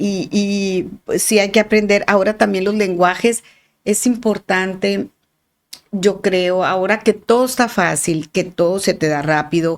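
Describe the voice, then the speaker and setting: Speaking at a fairly slow pace, a woman with a strong northern Mexican accent has a medium pitch and ordinary pitch variation. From northern Mexico, Sonora. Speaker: art historian. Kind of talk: podcast interview. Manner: halting, many repetitions; articulate, clear.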